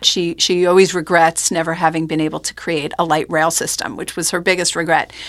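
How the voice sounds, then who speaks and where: A woman with an American accent, a normal speaking voice, and a fairly low pitch. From New York, Rockland County. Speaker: oral historian. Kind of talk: interview. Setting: studio.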